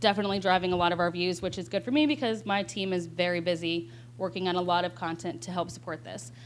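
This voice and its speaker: A woman's medium-pitched voice at a very fast pace. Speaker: web video producer. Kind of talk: panel talk.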